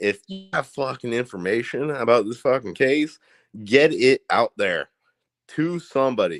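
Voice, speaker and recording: With a rural Indiana accent, a man speaks at a fairly slow pace in a medium pitch, his intonation lively. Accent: Indiana accent, rural Midwestern. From Indiana, US. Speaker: live streamer. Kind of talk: casual live stream chat. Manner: animated, repetitive stammering.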